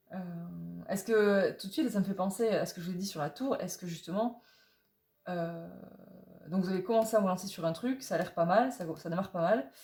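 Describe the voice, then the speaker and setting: The pace is fairly quick. The voice sounds somewhat breathy. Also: woman, medium pitch for a woman, ordinary pitch variation. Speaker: tarot reader. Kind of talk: tarot reading guidance video. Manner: fast; halting, many fillers.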